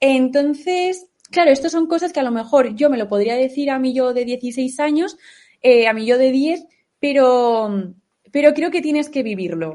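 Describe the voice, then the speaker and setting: This woman has a high pitch and a dark, mellow tone. Her intonation is lively and her pace moderate. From Aragon, Spain (Huesca). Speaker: content creator. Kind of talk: interview.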